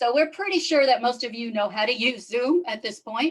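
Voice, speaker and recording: With a slight New York accent, a woman talks at a moderate pace. Her intonation is lively. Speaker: yacht club commodore and event organizer. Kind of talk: webinar introduction. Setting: video call.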